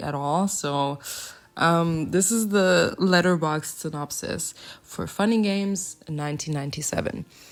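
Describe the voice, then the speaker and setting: A woman speaks with a non-native accent in a fairly low voice. Her pitch varies in an ordinary way. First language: not English. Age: 20s. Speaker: movie vlogger. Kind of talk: casual vlog chat. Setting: home recording on camera. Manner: casual, halting; animated.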